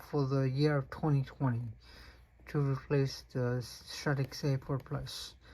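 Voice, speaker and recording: At a fairly slow pace, the speaker talks with a non-native accent. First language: not English. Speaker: fishing reel reviewer. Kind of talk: product unboxing review. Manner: halting, many fillers.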